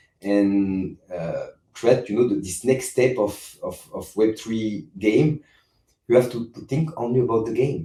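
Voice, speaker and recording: A man talks with a French accent at a moderate pace. His pitch varies in an ordinary way. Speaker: game company CEO. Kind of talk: interview. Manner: halting, many repetitions and fillers.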